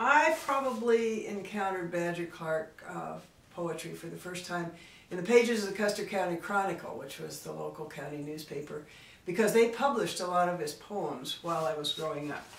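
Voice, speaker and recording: A woman with a fairly low voice speaks at a moderate pace, her intonation lively and her loudness swinging widely, over noticeable background noise. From South Dakota. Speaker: poet and writer. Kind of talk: reminiscing talk to camera.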